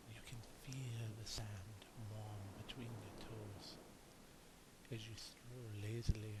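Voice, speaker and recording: Soft-spoken and calm in tone, a man delivers his words at a very slow pace. His medium-pitched voice stays monotone, with flat intonation. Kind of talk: guided relaxation visualization. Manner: soft-spoken, calm.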